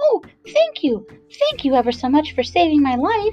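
A squeaky, high-pitched put-on character voice at a moderate pace, with faint music in the background. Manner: grateful, earnest.

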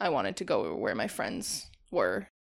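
Recorded very cleanly against a silent background, a woman speaks at a moderate pace with an Upper Midwest accent. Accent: Upper Midwest American. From Wisconsin, US (Janesville). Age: 20s. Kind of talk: casual interview.

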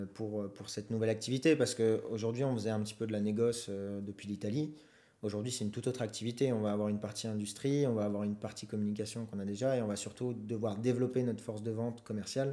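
With a dark, mellow tone and fairly even intonation, a man speaks very fast at a fairly low pitch. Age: 20s. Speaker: student entrepreneur, co-founder of a startup. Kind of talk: interview. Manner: halting, repeats words.

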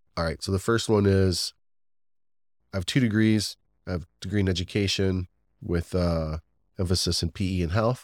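With an American accent, a man talks at a moderate pace in a very deep, low pitch, his fairly even intonation broken by long, frequent pauses, the sound dry and close with no echo on a very clean recording with a silent background. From northwestern Ohio. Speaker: brewery owner. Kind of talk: casual interview.

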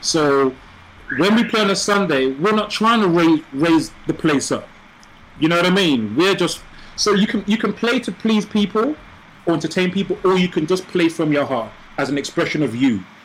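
Over noticeable background noise, a man with a high pitch speaks at a moderate pace, his intonation lively and his loudness very even. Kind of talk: casual chat.

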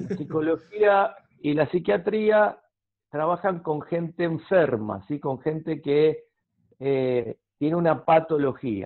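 With an Argentine accent, a man speaks at a very slow pace. His fairly high pitch rises and falls with lively intonation. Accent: Argentine Spanish (rioplatense voseo). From Argentina. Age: 50s. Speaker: counselor. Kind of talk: interview.

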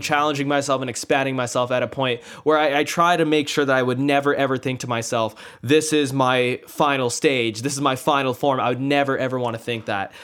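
A man speaks with a Canadian accent at a fairly quick pace. His is an unremarkable speaking voice, fairly high in pitch. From Canada, child of immigrants. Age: 20s. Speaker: podcast host. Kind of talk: casual interview.

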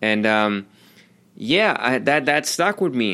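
Over a silent background in a very clean recording, a man speaks in a bright, sharp tone. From Germany. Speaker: podcast host, self-taught designer and entrepreneur. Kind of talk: motivational monologue. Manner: halting, many repetitions and fillers; animated.

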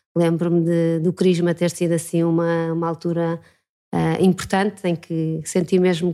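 With a dark, mellow tone and a fairly low pitch, a woman speaks at a moderate pace in a monotone, flat intonation while her loudness swings widely. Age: 40s. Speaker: former journalist, church communications. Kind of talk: interview.

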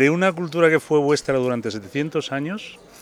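Over noticeable background noise, a man speaks at a moderate pace. His fairly high voice makes very wide pitch swings. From Indian origin, raised in Spain. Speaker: bookseller. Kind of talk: casual interview.

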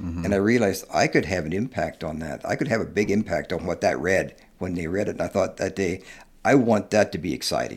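With a Midwestern American accent, a man speaks at a very fast pace in a very deep, low pitch with ordinary pitch variation. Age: 70s. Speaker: author and long-distance hiker. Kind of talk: casual interview chat.

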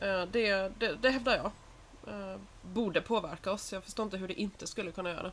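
Fairly even intonation carries this speech along at a fairly quick pace. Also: woman, medium pitch for a woman. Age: 30s. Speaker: podcast co-host. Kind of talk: casual chat. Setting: in her flat with balcony door open.

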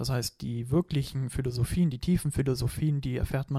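A man's somewhat breathy, dark, mellow voice at medium pitch, with fairly even intonation and a moderate pace, in a dry, close sound with no echo. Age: 20s. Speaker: martial arts trainer. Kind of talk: casual chat.

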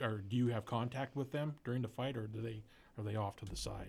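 A man speaks very fast in a fairly low pitch. His tone is dark and mellow and somewhat breathy. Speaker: podcast co-host. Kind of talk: casual chat.

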